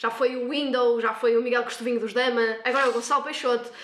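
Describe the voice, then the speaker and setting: A woman with a high pitch speaks at a very fast pace in an energetic tone. Noticeable background noise runs beneath her. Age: 20s. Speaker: nursing student. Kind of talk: casual interview. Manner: energetic, talkative.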